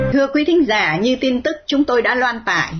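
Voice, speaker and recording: There is noticeable background noise. A woman speaks with lively intonation. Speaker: radio host. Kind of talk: scripted narration.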